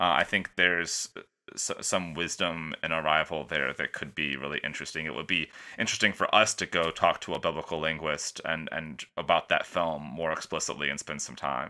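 A man speaks at a fairly quick pace with a very deep, low pitch, vocal fry, and fairly even intonation. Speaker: podcast host. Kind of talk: casual chat.

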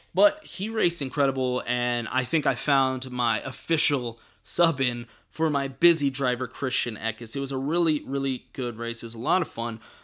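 With a bright, sharp tone and ordinary pitch variation, the voice moves at a moderate pace. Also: man, medium pitch for a man. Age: 20s. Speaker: NASCAR podcast host. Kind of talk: casual solo podcast talk. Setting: home studio with new microphone. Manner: halting, many fillers.

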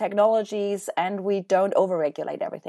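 On a very clean recording with a silent background, a woman with a German accent speaks fairly quickly at a medium pitch. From Germany. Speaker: hospital innovation program manager. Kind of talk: interview.

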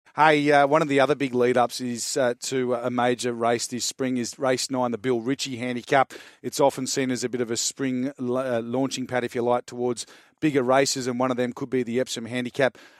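A man's fairly quick, monotone delivery with flat intonation and an Australian accent, medium in pitch, in a dry, close sound with no echo. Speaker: racing analyst. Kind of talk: horse racing preview chat. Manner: fast, stumbling over names.

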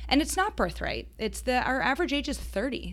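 Speaking fairly quickly, this woman has an American accent. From Boston area. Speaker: founder of an adult summer camp company. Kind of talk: interview.

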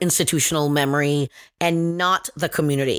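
An ordinary speaking voice from a woman at a moderate pace, with ordinary pitch variation, on a very clean recording against a silent background. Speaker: nonprofit leader and co-host. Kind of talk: casual podcast conversation.

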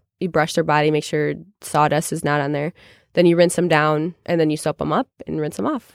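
Fairly even intonation and a fairly quick pace mark this speaker with an American accent. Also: woman, very deep, low pitch for a woman, dry, close sound with no echo. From Chicago. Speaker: head horse trainer. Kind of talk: interview.

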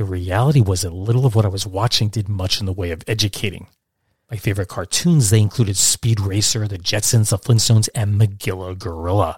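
On a very clean recording with a silent background, a man with an American accent speaks at a fairly quick pace in a somewhat breathy, fairly low voice with ordinary pitch variation. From Brooklyn, New York, then Catskills upstate New York. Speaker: podcast host. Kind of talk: scripted narration.

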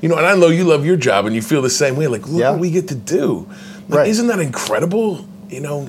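Very fast and with lively intonation, a man with an American accent speaks at a fairly high pitch amid noticeable background noise and audible room echo. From Indiana, US Midwest. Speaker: actor. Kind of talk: interview.

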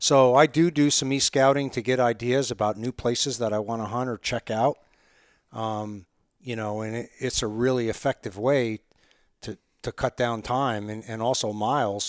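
A man with an American accent and a plain, everyday voice speaks at a moderate pace with fairly even intonation, the sound dry and close with no echo on a very clean recording with a silent background. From upstate New York, Catskills. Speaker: elk hunting guide. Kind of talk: casual interview.

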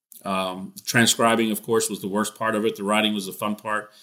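A man with a medium pitch and a bright, sharp tone speaks at a very fast pace. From Texas (moved from Scotland/Ireland as a small child). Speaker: baseball beat writer. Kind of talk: casual interview. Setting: podcast.

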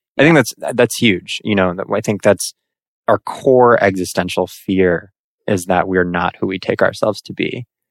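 In a very clean recording with a silent background and a dry, close sound with no echo, an ordinary speaking voice keeps a moderate pace with ordinary pitch variation. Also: man, fairly low pitch for a man. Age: 20s. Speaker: business owner. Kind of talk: casual interview.

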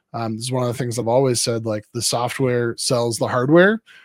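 An unremarkable speaking voice moves at a fairly quick pace, caught in a very clean recording with a silent background and a dry, close sound with no echo. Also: man. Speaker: pastor and co-host. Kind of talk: casual chat.

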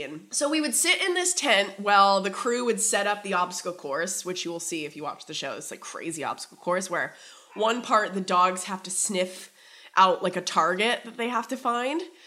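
The speaker sounds animated, with lively intonation and big swings in loudness. The pace is fairly quick, and there is noticeable background noise. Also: woman. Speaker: TV show host. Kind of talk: casual chat.

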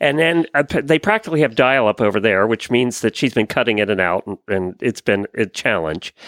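A man with a bright, sharp tone and vocal fry talks at a moderate pace. The recording is very clean and dry, close with no echo and a silent background. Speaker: horse podcast host. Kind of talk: casual chat.

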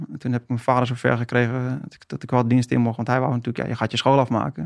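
The man's voice sits at a medium pitch. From Haarlem, North Holland. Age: 40s. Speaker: firefighter and former marine. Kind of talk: interview.

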